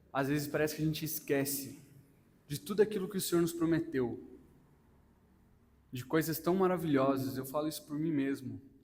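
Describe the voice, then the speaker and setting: The voice is somewhat breathy, moving at a moderate pace with long, frequent pauses. Room echo is audible. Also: man, fairly high pitch for a man, ordinary pitch variation. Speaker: lay preacher. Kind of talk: sermon.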